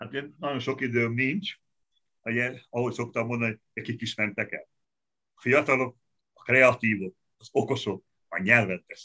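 A man speaks at a moderate pace in a bright, sharp tone, leaving long, frequent pauses. The sound is dry and close, with no echo. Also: medium pitch for a man, ordinary pitch variation. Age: 60s. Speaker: economist and opposition politician. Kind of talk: interview.

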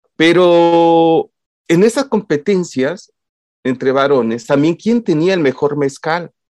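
This man's voice sits high and moves with lively intonation at a very slow pace. The sound is dry and close, with no echo. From Mexico, Oaxaca. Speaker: psychologist and lecturer on masculinities. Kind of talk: casual interview chat. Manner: halting, with many fillers.

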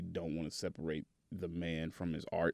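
A man with a Southern US accent speaks at a fairly slow pace. His pitch is very deep and low, with a dark, mellow tone. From Tennessee, Chattanooga. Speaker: DJ. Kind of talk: casual interview. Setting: studio.

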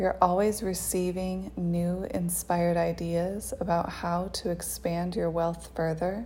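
The voice has a soothing, calm tone at a fairly slow pace with hardly any pauses, over noticeable background noise. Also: woman. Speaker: meditation guide. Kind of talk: guided meditation. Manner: slow, soothing, calm and unhurried with long pauses; gentle, hypnotic, coaxing.

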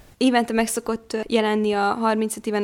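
A woman's fairly high, monotone, flat voice at a very slow pace. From Vojvodina, Serbia. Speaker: young novelist and university student. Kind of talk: interview.

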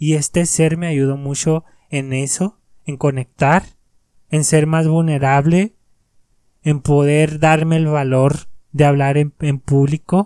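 A man's fairly high, monotone, flat voice at a very slow pace with long, frequent pauses, in a dry, close sound with no echo. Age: 20s. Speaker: motivational podcaster. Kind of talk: motivational monologue.

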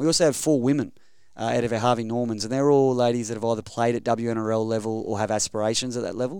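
With an Australian accent, a man talks at a very fast pace in a dark, mellow tone at medium pitch with ordinary pitch variation, on a very clean recording with a silent background. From Queensland, Rockhampton. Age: 30s. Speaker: rugby league development coach. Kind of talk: interview. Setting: studio.

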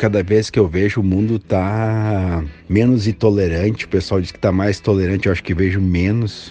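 Using a normal speaking voice, a man with a fairly low pitch talks at a fairly quick pace with fairly even intonation. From southern Brazil, Rio Grande do Sul. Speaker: footwear company representative. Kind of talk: casual interview answers, recorded audio message.

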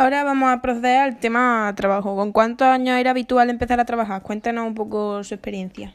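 In a very clean recording with a silent background, a woman with a fairly high voice speaks very fast with hardly any pauses and fairly even intonation. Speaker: student interviewer. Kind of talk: scripted school interview.

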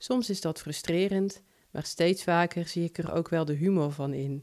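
Fairly low in pitch, a woman with a slight Brabant accent speaks fairly slowly with fairly even intonation. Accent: slight Brabant Dutch. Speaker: podcaster and short story writer. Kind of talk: personal podcast monologue.

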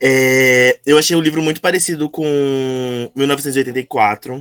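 This is a man speaking. His pitch sits in the medium range, and the sound is dry and close with no echo. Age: 20s. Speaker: book club member. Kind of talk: casual chat.

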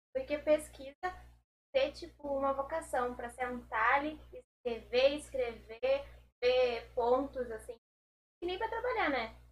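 Over music in the background, the speech moves at a fairly slow pace with long, frequent pauses and big swings in loudness. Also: woman. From Pernambuco and Pelotas, Brazil. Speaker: agricultural engineering student. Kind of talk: casual chat.

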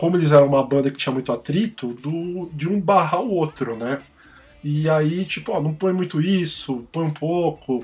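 An unremarkable speaking voice, a man's, fairly high in pitch, with ordinary pitch variation and a moderate pace. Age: 40s. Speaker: music podcast host. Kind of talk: casual chat.

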